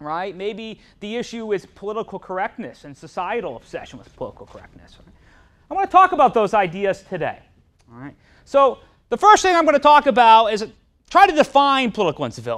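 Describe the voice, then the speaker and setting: The voice moves at a fairly quick pace with very wide pitch swings and big swings in loudness, set against a quiet background. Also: man. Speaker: university professor presenter. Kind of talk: lecture. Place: classroom.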